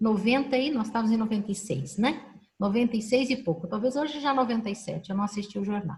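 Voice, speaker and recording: A somewhat breathy woman's voice at a very fast pace, with ordinary pitch variation. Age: 60s. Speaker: professor and panel moderator. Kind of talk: online panel discussion. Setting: video call.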